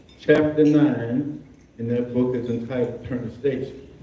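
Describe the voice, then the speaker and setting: The speaker has an American accent and a monotone, flat delivery. The pace is moderate, with audible room echo. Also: man. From Maryland, Baltimore County. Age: 70s. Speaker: physician. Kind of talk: impromptu remarks at a luncheon. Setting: luncheon with audience. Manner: hesitant, with many fillers.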